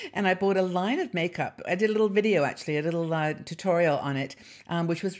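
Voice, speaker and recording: A woman speaks with a British accent at a fairly low pitch. Her intonation is lively. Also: very clean recording, silent background. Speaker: YouTube channel host. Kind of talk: casual vlog chat. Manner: chatty, hesitant with fillers.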